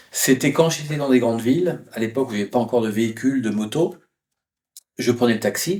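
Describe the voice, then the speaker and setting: He keeps up a fairly brisk tempo. The man's voice stays mid-range in pitch, rising and falling in a usual way. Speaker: travel writer. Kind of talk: interview. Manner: hesitant, many fillers.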